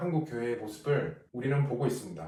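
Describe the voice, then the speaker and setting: This man's voice sits fairly high and comes out somewhat breathy. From South Korea. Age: 40s. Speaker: pastor. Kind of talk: casual talk to camera.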